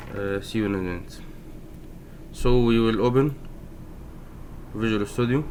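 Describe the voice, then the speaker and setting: In a room with audible echo, a man speaks with fairly even intonation and long, frequent pauses. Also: medium pitch for a man. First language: not English. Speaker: programming tutorial maker. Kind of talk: tutorial. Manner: slow; halting, many fillers. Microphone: poor sound quality.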